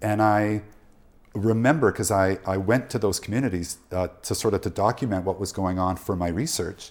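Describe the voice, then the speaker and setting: Spoken at a moderate pace with a western Canadian accent, the recording is very clean with a silent background. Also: man, fairly low pitch for a man, ordinary pitch variation. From Canada, Prince George, British Columbia. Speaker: journalist. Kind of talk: casual chat.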